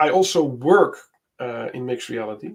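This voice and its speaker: A man with a Dutch accent at a moderate pace. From Netherlands. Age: 50s. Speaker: software developer. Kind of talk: casual tech demo chat. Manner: halting, many fillers.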